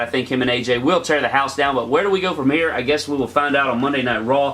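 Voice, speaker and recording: At a fairly quick pace, a man with a medium pitch talks over noticeable background noise. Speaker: YouTuber reviewing wrestling shows. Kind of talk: casual video review. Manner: fast.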